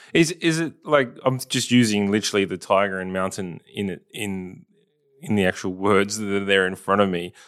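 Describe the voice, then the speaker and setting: A man's fairly low voice at a moderate pace with ordinary pitch variation, a normal speaking voice, in a very clean recording with a silent background. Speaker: podcast host. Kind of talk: interview conversation.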